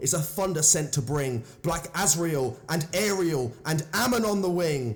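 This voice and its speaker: A man with a southern English accent and ordinary pitch variation. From southern England. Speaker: poetry reader. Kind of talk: reading aloud.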